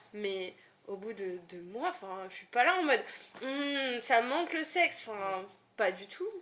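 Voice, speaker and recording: The pace is fairly slow. Both loudness and pitch swing widely, with big changes in volume and very wide pitch swings. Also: woman, fairly high pitch for a woman. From northern France, Lille. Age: 20s. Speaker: content moderator. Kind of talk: casual chat.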